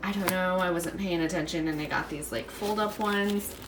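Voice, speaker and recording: A woman speaks at medium pitch. Room echo is audible, and background noise is noticeable. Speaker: lifestyle vlogger. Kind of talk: casual vlog talk.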